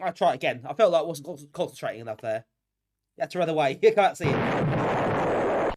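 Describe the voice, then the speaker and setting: A fairly quick delivery with an English accent. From England. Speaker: retro gaming streamer. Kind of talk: live gameplay stream chat. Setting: live stream. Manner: fast.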